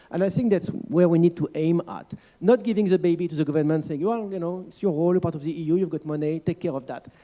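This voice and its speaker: Speaking very fast with a French accent, this man has a high pitch, a dark, mellow tone, ordinary pitch variation and big swings in loudness. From France. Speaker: panel expert, children's rights organization staff. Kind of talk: panel discussion. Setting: conference panel. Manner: hesitant, many fillers.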